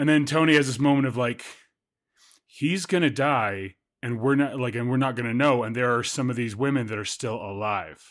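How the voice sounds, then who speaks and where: A man's medium-pitched voice with ordinary pitch variation, at a moderate pace. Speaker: podcast co-host. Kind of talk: casual chat.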